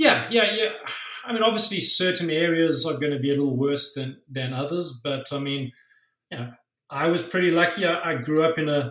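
A man talks with a South African accent. His voice is fairly high-pitched with ordinary pitch variation. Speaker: musician and tattoo artist. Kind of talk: casual interview.

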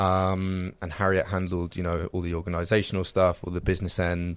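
A man with a southern English accent speaks at a moderate pace in a very deep, low pitch. The recording is very clean with a silent background. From England (Reading). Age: 20s. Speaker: videographer at a production company. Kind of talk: casual chat.

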